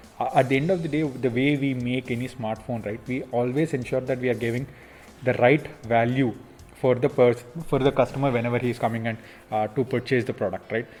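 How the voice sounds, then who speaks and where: A Telugu accent at a fairly quick pace. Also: man, medium pitch for a man, fairly even intonation. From India, Andhra Pradesh (near Vijayawada). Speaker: smartphone company executive. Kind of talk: Q&A interview. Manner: hesitant, many fillers.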